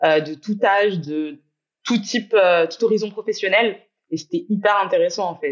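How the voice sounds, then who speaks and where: An ordinary speaking voice from a woman at a moderate pace. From Guadeloupe. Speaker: entrepreneur. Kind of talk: casual chat.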